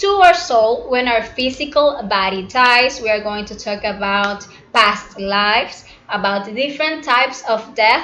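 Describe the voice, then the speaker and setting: A woman with a non-native accent talks at a moderate pace, her intonation lively. Audible room echo and noticeable background noise fill the recording. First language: not English. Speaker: spiritual teacher. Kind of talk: lecture. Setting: live broadcast. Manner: halting.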